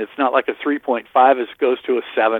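A man speaks with fairly even intonation. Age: 60s. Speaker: fantasy baseball writer. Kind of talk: casual chat.

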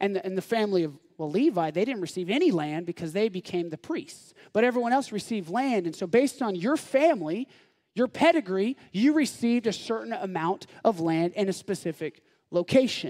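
Animated in tone, a man talks at a fairly quick pace in a high pitch that swings very widely. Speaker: pastor. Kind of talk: sermon. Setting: church.

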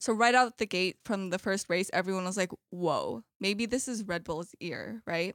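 A woman's unremarkable speaking voice at medium pitch, with ordinary pitch variation, a moderate pace and hardly any pauses, in a dry, close sound with no echo and a very clean recording over a silent background. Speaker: student sports journalist. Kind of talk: casual chat.

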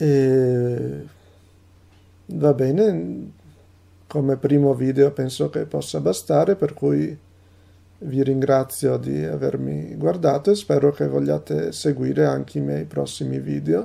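Very slowly and with long, frequent pauses, a man speaks in a dark, mellow tone with very wide pitch swings. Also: medium pitch for a man. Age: 20s. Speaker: translator and polyglot. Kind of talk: talking-head video monologue.

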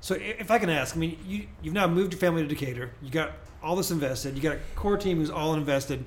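At a very fast pace, a man speaks with an American accent and a fairly high pitch. His pitch varies in an ordinary way, and audible room echo surrounds his voice. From Springfield, Illinois. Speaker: pastor and podcast host. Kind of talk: interview.

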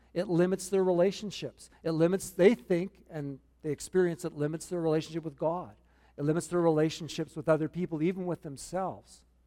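A man's high voice with a Canadian accent, dark and mellow in tone, fairly even in intonation, at a fairly quick pace. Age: 60s. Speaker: pastor. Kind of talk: sermon. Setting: church. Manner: humorous, self-deprecating.

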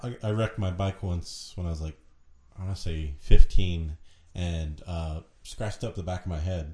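A man speaks at a moderate pace in a very deep, low, somewhat breathy voice with a dark, mellow tone. His intonation is fairly even, but his loudness swings widely. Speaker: intern co-host.

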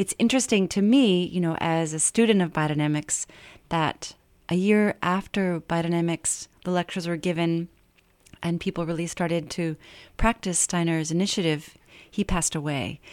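With an American accent, a woman speaks at a moderate pace in a fairly low pitch, with ordinary pitch variation, a plain, everyday voice, and a dry, close sound with no echo. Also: very clean recording, silent background. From western Maine, US. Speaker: herbalist and organic gardener. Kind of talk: radio interview. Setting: radio studio.

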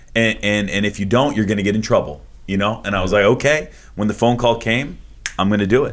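A man speaks very quickly in a rather low register, his pitch rising and falling in the usual way. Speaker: podcast host. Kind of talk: casual interview chat.

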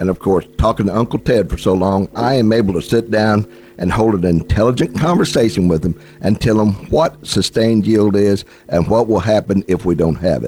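A man in a plain, everyday voice, fairly low in pitch, at a fairly quick pace, with ordinary pitch variation. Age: 60s. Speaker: outdoors radio host. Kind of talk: radio interview.

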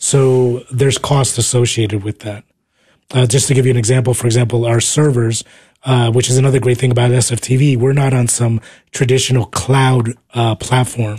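A man with an American accent has a dark, mellow, somewhat breathy tone at a medium pitch. He speaks at a fairly quick pace in a flat monotone. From New Jersey. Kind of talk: radio interview. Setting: radio studio.

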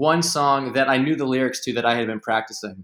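A man speaks with an American accent. His tone is bright and sharp. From Philadelphia area. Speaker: college student. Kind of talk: casual chat.

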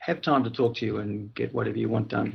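A man speaks in an Australian accent. His intonation stays fairly even. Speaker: IT manager. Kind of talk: casual roundtable discussion. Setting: call late at night.

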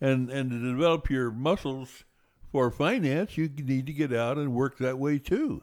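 With a plain, everyday voice, a man at medium pitch talks at a moderate pace with fairly even intonation in a very clean recording with a silent background. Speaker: financial radio host. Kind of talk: casual radio chat, co-host banter on finance. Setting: radio studio. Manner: folksy, conversational.

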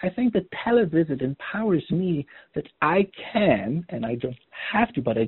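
The speech moves at a moderate pace in a slight Polish accent. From Poland. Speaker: oncologist. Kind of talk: lecture.

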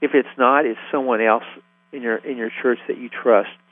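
A man speaks at a fairly quick pace. His medium pitch follows fairly even intonation. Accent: Southern US. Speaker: ministry founder. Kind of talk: radio interview.

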